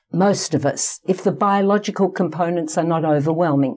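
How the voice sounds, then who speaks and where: Here is a female voice with an Australian accent. Nothing sounds in the background of this very clean recording. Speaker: psychologist. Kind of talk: interview.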